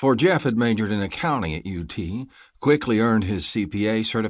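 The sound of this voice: An unforced reading voice, its pitch varying in an ordinary way.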